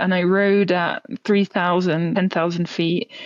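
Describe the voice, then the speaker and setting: A woman with a French accent at a very slow pace. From France. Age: 20s. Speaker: professional cyclist. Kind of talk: podcast interview.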